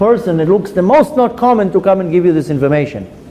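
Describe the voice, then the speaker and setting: A man with a high pitch speaks loudly, his intonation lively. Audible room echo and noticeable background noise surround him. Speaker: rabbi and Torah teacher. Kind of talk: lecture. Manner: loud even when whispering.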